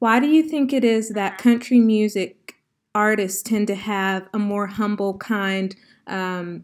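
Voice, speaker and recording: A woman uses a normal speaking voice with an American accent, medium pitch and ordinary pitch variation. She talks at a fairly slow pace on a very clean recording with a silent background. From US South. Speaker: podcast host. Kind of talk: interview.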